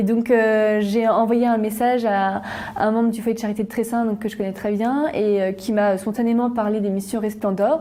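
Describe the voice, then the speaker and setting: Over noticeable background noise, a woman talks at a moderate pace in a fairly high pitch with monotone, flat intonation. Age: 20s. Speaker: student volunteer. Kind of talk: interview testimony. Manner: hesitant, many fillers.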